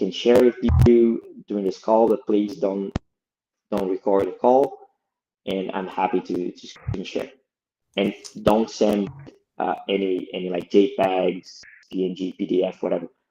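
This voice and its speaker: A man's fairly low, dark and mellow voice with a Brazilian Portuguese accent, fairly even intonation, moderate pace, and long, frequent pauses. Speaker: lead product designer. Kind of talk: podcast interview.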